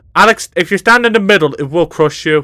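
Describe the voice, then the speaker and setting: A man speaks in a raised, projected voice with a British accent. His tone is bright and sharp, and the sound is dry and close with no echo. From Britain. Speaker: gaming YouTuber. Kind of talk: gameplay commentary. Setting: voice chat. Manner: animated.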